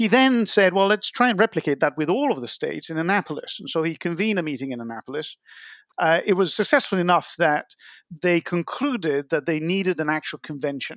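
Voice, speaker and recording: A man at a fairly quick pace, high-pitched with lively intonation, in a dry, close sound with no echo. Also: very clean recording, silent background. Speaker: author and water scholar. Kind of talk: interview answers, explanatory.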